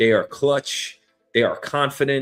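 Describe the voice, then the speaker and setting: With a New York accent, a man speaks at a moderate pace with ordinary pitch variation. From New York City. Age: 30s. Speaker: news show host. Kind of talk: casual solo commentary. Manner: animated.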